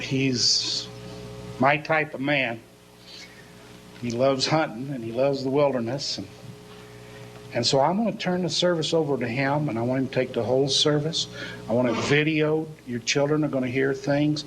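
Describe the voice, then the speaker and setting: A man's fairly high voice at a moderate pace, with long, frequent pauses, audible room echo and noticeable background noise. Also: ordinary pitch variation. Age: 60s. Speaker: pastor. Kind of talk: sermon.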